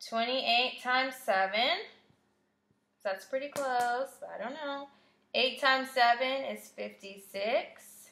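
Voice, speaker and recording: In a raised, projected voice, a woman speaks very slowly, her high pitch bright and sharp in tone and varying in an ordinary way. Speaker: math teacher. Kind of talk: tutorial.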